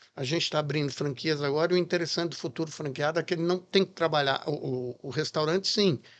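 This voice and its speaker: A man talks very fast at a fairly high pitch, with hardly any pauses. His intonation stays fairly even against a quiet background. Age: 60s. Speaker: chef and restaurant founder. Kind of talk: podcast interview.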